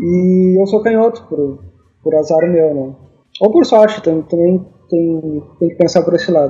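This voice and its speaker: A man speaks at a fairly slow pace with a dark, mellow tone. His pitch is high, with ordinary variation. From Brazil, Rio Grande do Sul interior (Rosário do Sul). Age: 40s. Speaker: cartoonist. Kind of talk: interview conversation. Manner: halting, repeats words.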